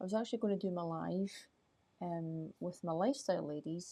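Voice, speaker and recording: A woman speaks at a fairly low pitch in a dark, mellow tone. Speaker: life coach. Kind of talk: live stream chat. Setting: outdoors at night. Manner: soft-spoken.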